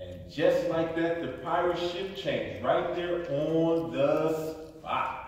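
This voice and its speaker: A man speaks very slowly in a high voice with ordinary pitch variation. Strong echo fills the room. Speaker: storybook reader. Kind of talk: read-aloud storytelling. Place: hall. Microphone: phone near.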